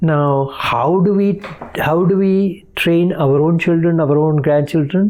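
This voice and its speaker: Against noticeable background noise, a man speaks very slowly at a high pitch with fairly even intonation. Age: 80s+. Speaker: army veteran. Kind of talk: podcast interview answer.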